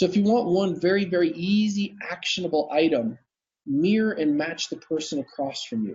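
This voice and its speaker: A man's high-pitched voice with lively intonation. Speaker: dental practice coach. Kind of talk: interview on live video broadcast. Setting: live video stream. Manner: fast; energetic, intense.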